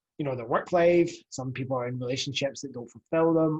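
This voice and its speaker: A man with a Scottish accent talks at a very fast pace in a medium-pitched, somewhat breathy voice. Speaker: fitness coach and podcast host. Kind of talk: podcast monologue. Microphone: new USB podcast mic.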